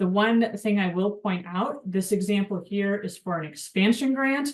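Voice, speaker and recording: A woman with an unremarkable speaking voice talks at a moderate pace. Her pitch is medium, with ordinary pitch variation. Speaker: webinar presenter at homelessness nonprofit. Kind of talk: webinar tutorial. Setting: online webinar.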